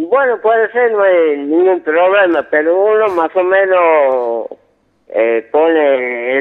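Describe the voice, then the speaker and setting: Speaking at a very slow pace, a man with a high pitch keeps his loudness very even while his intonation stays lively. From Yerba Buena, Tucumán, Argentina. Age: 50s. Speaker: carpenter. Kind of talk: phone-in call. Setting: phone call. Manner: halting.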